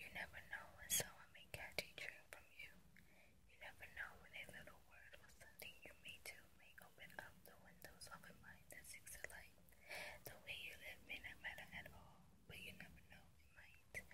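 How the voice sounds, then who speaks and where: A woman whispers with big swings in loudness. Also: moderate pace. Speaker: ASMR creator. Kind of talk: poetry reading. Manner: whispered, soft-spoken. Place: car. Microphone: phone near.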